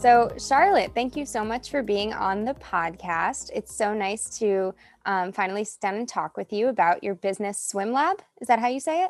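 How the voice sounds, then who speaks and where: With hardly any pauses, a woman speaks in a plain, everyday voice at a fairly high pitch, with ordinary pitch variation. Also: moderate pace. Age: young. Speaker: student podcast co-host. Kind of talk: interview.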